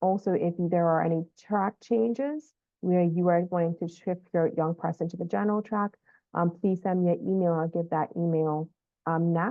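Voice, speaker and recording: A woman with an unremarkable speaking voice talks at a moderate pace. Her pitch is fairly low, with ordinary pitch variation. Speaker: school counselor. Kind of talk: informational update video for parents.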